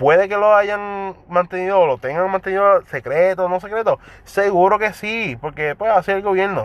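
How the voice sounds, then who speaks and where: Dry and close with no echo, a man's high-pitched voice moves at a moderate pace with ordinary pitch variation. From Puerto Rico. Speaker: podcaster. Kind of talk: casual monologue. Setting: in a car.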